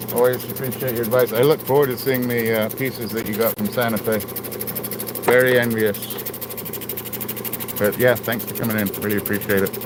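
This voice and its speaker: The speaker goes at a fairly quick pace in a flat, monotone way, taking long, frequent pauses over noticeable background noise. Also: man, medium pitch for a man. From England. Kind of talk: casual livestream chat while working.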